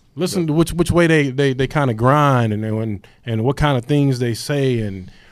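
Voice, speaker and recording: Lively intonation runs through a plain, everyday voice at a fairly quick pace. The recording is very clean, with a silent background. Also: man. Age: 40s. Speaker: podcast co-host. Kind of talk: casual chat.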